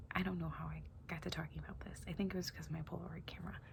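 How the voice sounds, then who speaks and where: A soft-spoken voice at a very fast pace. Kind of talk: ASMR unboxing.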